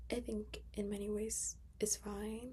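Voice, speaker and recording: This is a woman speaking. She is soft-spoken. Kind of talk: casual talk to camera, movie review.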